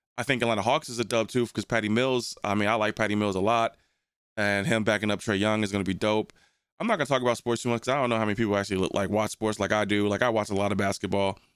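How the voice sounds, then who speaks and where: Very fast and fairly low in pitch, a man speaks with an American accent and fairly even intonation. The recording is very clean, with a silent background. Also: very even loudness. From New Jersey. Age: 40s. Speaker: podcast host. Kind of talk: casual chat. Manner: relaxed, halting with fillers.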